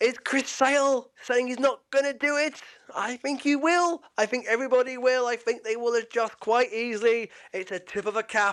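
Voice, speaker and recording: A man's extremely high voice with a British accent, at a moderate pace with ordinary pitch variation, on a very clean recording with a silent background. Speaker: podcast host. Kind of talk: casual sports podcast chat. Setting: podcast, video. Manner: animated.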